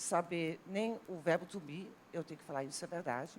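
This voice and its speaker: A woman speaks with a Dutch accent. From Netherlands, near German border. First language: Dutch (speaking Portuguese). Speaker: university language professor. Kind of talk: TV talk show panel discussion.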